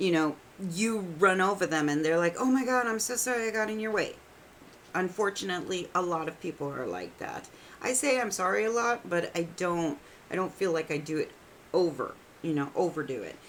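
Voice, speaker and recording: Over noticeable background noise, a woman speaks at a fairly quick pace with lively intonation. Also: medium pitch for a woman. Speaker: tarot reader. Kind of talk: casual talk to camera. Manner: chatty, irreverent.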